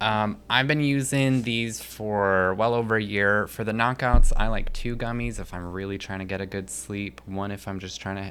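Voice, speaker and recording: Soft-spoken mumbling in a bright, sharp tone, with ordinary pitch variation. The moderate pace has hardly any pauses. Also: man. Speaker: cannabis company employee. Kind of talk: casual chat.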